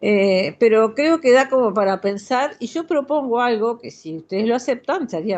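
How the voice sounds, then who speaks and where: The voice is a woman's, pitched fairly high. Very wide swings run through her pitch. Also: quiet background. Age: 70s. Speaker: audience participant in cultural talk. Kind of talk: group discussion comment. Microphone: connecting via new tablet.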